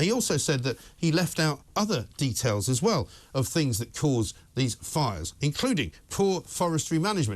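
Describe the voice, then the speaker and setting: Very wide pitch swings mark this man's fairly high voice, heard against a quiet background. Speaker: talk radio presenter. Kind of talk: opinionated talk radio monologue. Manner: passionate, ranting, sarcastic.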